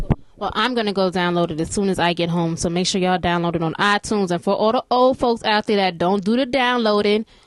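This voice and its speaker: Talking at a very fast pace, a woman with a New York accent has a medium pitch. Her tone is animated. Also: ordinary pitch variation, hardly any pauses. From New York, US. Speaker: online interview host. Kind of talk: interview.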